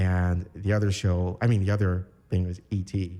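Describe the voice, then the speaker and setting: A man speaks with a Chicago accent. His voice has a dark, mellow tone. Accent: Chicago American English. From Chicago, north side (Bucktown), Puerto Rican family. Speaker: architecture graduate and military veteran. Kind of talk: podcast interview. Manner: relaxed, many filler words.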